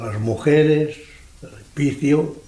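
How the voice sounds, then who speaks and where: Amid audible room echo and noticeable background noise, a man talks at a fairly high pitch with ordinary pitch variation. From Andalusia, Almería. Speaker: elderly interviewee. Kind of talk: life story interview.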